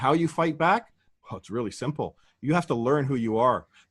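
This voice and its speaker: The man's delivery moves at a very fast pace. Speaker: guest speaking on law and freedom. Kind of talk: interview monologue. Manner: animated.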